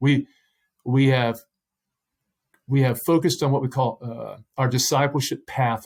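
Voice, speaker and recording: Here is a man with a plain, everyday voice at medium pitch. He talks at a moderate pace in a very clean recording with a silent background. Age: 60s. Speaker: pastor. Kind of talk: interview.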